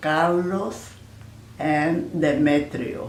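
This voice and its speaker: A woman speaks with a very deep, low pitch and ordinary pitch variation. Audible room echo surrounds her voice. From Panama. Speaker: grandmother interviewee. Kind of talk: family oral history interview. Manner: halting, with fillers.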